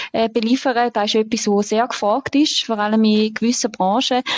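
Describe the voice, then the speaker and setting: A woman speaks in an ordinary speaking voice, fairly high in pitch with fairly even intonation, in a dry, close sound with no echo. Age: 20s. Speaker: deputy managing director. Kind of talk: podcast interview.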